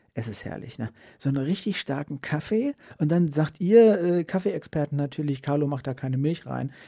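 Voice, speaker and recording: The recording is very clean, with a silent background. A man speaks at a moderate pace in a fairly high, dark, mellow voice. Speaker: streamer and podcast host. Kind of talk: casual solo podcast monologue. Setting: home podcast set. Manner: halting, many restarts and fillers.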